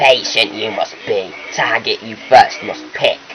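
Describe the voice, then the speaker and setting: At a fairly slow pace, a man performs a put-on character voice over clear background noise. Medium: machinima. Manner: inverted word order.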